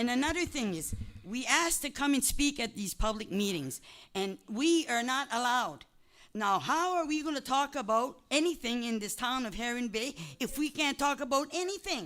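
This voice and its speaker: Over a silent background on a very clean recording, a woman speaks high-pitched with lively intonation at a moderate pace. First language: French. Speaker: resident speaking at council meeting. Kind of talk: heated public meeting exchange. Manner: insistent, interrupting.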